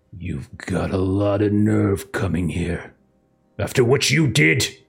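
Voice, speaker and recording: In a put-on character voice, a man speaks gruff and raspy, fairly low in pitch, at a fairly slow pace. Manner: angry, confrontational.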